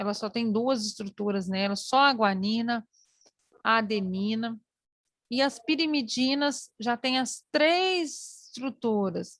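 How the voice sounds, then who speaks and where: A woman speaks very slowly at a fairly high pitch, somewhat breathy, with ordinary pitch variation and a dry, close sound with no echo. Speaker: teacher. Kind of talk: online lecture.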